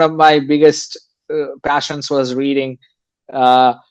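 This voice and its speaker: The speaker keeps a moderate pace with monotone, flat intonation. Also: man. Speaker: Stanford graduate, finance professional. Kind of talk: interview. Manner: hesitant, many fillers.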